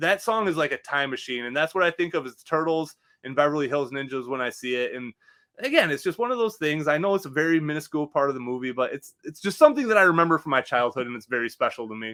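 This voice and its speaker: A man talks at a very fast pace with a bright, sharp tone and lively intonation. The recording is very clean, with a silent background. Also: fairly high pitch for a man. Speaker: podcast co-host. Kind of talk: casual chat. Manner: fast, slurring words together.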